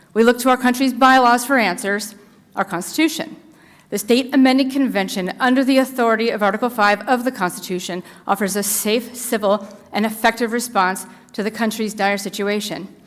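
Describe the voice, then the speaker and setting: Fairly high-pitched female speech, its pitch varying in an ordinary way. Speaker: citizen volunteer giving legislative testimony. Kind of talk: legislative committee testimony. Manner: fast; formal.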